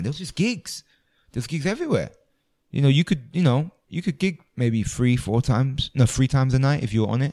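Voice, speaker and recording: A man with a London accent, medium in pitch, with a dark, mellow tone and a fairly quick pace. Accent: London English, multicultural London. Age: 20s. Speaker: comedian. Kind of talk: casual chat. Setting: music venue before a show.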